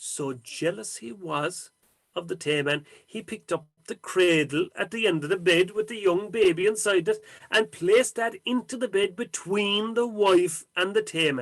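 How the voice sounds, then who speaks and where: Speaking with an Irish accent, a man keeps a moderate pace and a high pitch with ordinary pitch variation. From County Cork, Ireland. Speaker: storyteller. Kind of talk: traditional folk tale telling.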